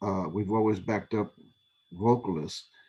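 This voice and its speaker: Against a quiet background, a man with an American accent speaks fairly slowly in a fairly low pitch, with a dark, mellow tone and fairly even intonation. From Texas, San Antonio. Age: 60s. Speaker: musician. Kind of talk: interview.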